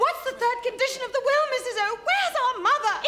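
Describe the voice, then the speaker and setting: Over loud background noise, a woman does a squeaky put-on character voice at an extremely high pitch and a very fast pace. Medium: stage play. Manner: prim, sharp, melodramatic.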